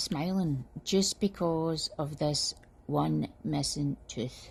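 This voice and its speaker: In a Scottish accent, a woman talks at a very slow pace with a dark, mellow, somewhat breathy tone. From Scotland. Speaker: customer giving a product review. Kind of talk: testimonial review. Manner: animated.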